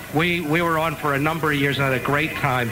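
With music in the background, a man of fairly high pitch speaks at a moderate pace with fairly even intonation. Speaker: rabbi. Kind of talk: radio tribute chat.

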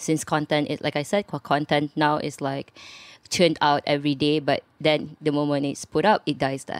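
A woman speaks at a moderate pace in a very deep, low pitch with monotone, flat intonation. The very clean recording is dry and close with no echo, and the background is silent. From Malaysia, Subang Jaya. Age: 20s. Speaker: creative space co-founder and graphic designer. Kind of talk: interview.

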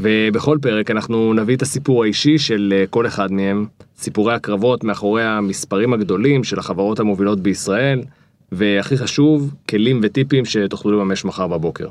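He has an ordinary speaking voice, pitched fairly low, with ordinary pitch variation and a moderate pace. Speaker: podcast host. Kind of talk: interview.

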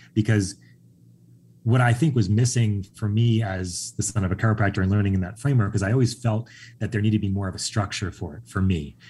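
A man with an American accent talks very fast in a dark, mellow, somewhat breathy tone, with ordinary pitch variation. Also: fairly low pitch for a man, very clean recording, silent background. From Long Island, New York. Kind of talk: casual interview. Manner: calm, zen.

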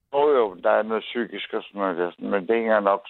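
A man is speaking. His pace is moderate. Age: 50s. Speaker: caller. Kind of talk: phone-in conversation. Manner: halting, many fillers.

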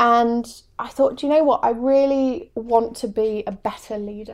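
A woman with an English accent and a high pitch speaks at a moderate pace with ordinary pitch variation in a very clean recording with a silent background. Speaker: coach. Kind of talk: casual interview chat.

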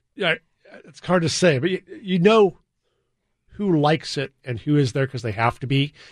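Dry and close with no echo, a man's somewhat breathy, fairly high-pitched voice moves at a moderate pace. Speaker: garden show coordinator and horticulturist. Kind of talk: casual interview.

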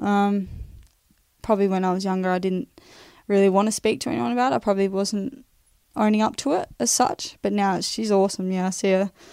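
A woman with a medium pitch and a dark, mellow tone talks at a fairly quick pace with ordinary pitch variation, breaking it with long, frequent pauses. The recording is very clean, with a silent background. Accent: Australian. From Western Australia, Perth. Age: 20s. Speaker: professional footballer. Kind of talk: interview testimony. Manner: hesitant, many fillers.

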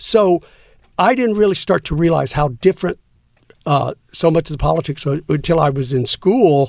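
A man with an American accent speaks at a moderate pace in a high pitch. His intonation is lively, and the sound is dry and close with no echo. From Texas, San Antonio. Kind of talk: casual interview.

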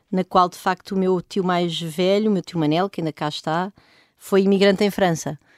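At a moderate pace, a woman speaks in a medium pitch with fairly even intonation. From Portugal, rural Oeste region near Benedita. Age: 40s. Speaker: economist and professor. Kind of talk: interview. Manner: halting, many fillers and repetitions.

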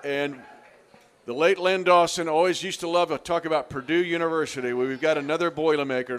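A high-pitched man's voice over noticeable background noise. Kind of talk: radio DJ patter: live-event sports radio show hosting with sponsor reads. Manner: smooth, rapid-fire, promo-reading rhythm that teases what comes next.

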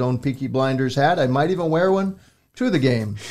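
A man talks at a fairly quick pace in a medium pitch. He has an ordinary speaking voice with ordinary pitch variation. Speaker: sports beat writer and podcast host. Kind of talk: casual sports chat. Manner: jokey, bantering, with many filler words.

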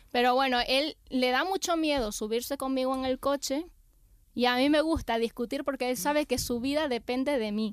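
Pitched high, a woman speaks at a moderate pace with ordinary pitch variation. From Venezuela. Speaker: comedian. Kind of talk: casual chat.

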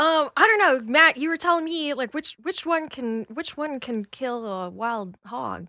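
A woman's raised, projected voice, high-pitched with a bright, sharp tone and very wide pitch swings, at a fairly slow pace, in a dry, close sound with no echo. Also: hardly any pauses. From US South, Atlanta. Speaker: comedian and podcast host. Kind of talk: casual chat.

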